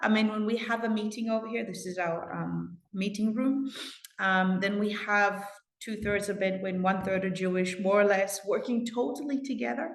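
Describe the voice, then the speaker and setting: At a moderate pace, a woman speaks at a medium pitch with ordinary pitch variation, and room echo is audible. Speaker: community advocate. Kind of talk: interview.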